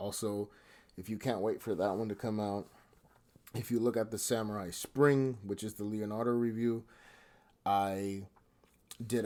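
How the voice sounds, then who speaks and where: This soft-spoken man has a fairly low pitch and a monotone, flat delivery at a moderate pace. The recording is very clean, with a silent background. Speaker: toy collector and reviewer. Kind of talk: product review. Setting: at home at night. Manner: subdued.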